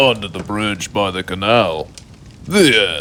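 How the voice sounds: The voice moves at a slow pace with a bright, sharp tone and big pitch swings. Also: man.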